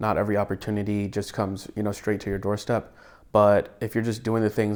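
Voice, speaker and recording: Here a man with an American accent speaks at a very fast pace and a fairly low pitch, in a monotone with flat intonation. The recording is very clean, with a silent background. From Atlanta, Georgia, USA. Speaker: cinematographer. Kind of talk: interview answer.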